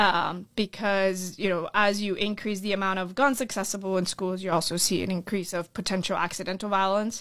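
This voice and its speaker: A woman with a Florida accent is heard on a very clean recording with a silent background. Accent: American, Florida. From Orlando, Florida (born in Colombia). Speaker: school board candidate. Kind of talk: interview. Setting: studio.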